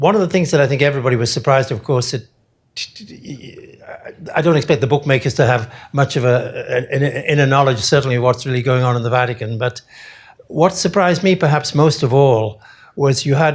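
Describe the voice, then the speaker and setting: Somewhat breathy and in a British accent, the voice moves at a fairly quick pace with ordinary pitch variation. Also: man, fairly high pitch for a man. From United Kingdom. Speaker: audience member asking a question, diplomat. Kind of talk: audience question. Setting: stage with live audience.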